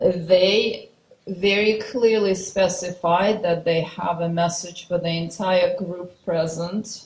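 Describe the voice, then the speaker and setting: A woman's somewhat breathy, fairly low voice with a non-native accent, fairly even intonation and a very slow pace. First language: not English. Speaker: spiritual channeler. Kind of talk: guided meditation intro.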